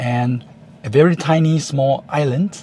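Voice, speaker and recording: A man's somewhat breathy voice, medium in pitch, with fairly even intonation. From Taiwan. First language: Chinese. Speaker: YouTuber. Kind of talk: vlog monologue. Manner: halting, with fillers.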